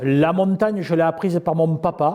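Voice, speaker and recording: High in pitch, a man talks at a moderate pace with ordinary pitch variation. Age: 60s. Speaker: farm leader and entrepreneur. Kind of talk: interview. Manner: hesitant, many fillers and repetitions.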